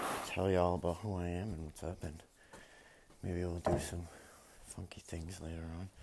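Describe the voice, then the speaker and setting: Speaking in a flat monotone with long, frequent pauses, a man with a very deep, low pitch talks with an American accent. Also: moderate pace. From Massachusetts, suburbs of Boston. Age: 30s. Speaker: farmer and military veteran podcaster. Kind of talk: casual monologue. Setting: barn while cleaning stalls.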